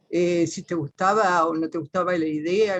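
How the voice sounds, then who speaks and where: A woman with an Argentine Litoral accent, fairly low in pitch, at a moderate pace, in a dry, close sound with no echo. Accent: Argentine Spanish (litoral, voseo). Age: 60s. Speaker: teacher, panel participant. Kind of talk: personal testimony in a panel talk. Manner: halting, many fillers and self-corrections.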